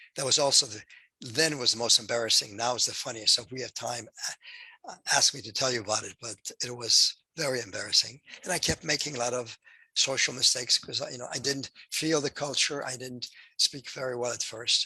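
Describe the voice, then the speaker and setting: Speaking fairly quickly with a Polish accent, a man has a medium pitch, a bright, sharp tone, fairly even intonation and big swings in loudness. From Poland. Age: 80s+. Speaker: Holocaust survivor. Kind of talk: testimony.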